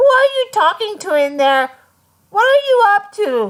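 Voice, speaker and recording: A female-sounding put-on character voice, shrill and squeaky, sits at an extremely high pitch. It swings very widely in pitch at a moderate pace. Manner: suspicious, demanding.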